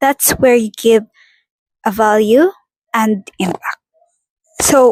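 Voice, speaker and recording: Her fairly high voice has a non-native accent and ordinary pitch variation, and this woman speaks at a very slow pace. The sound is dry and close, without any echo. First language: not English. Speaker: vlogger. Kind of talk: casual vlog monologue. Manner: halting.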